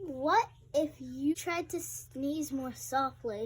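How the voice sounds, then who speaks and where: A woman speaks in a put-on character voice with a high pitch. Her pace is very slow. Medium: read story.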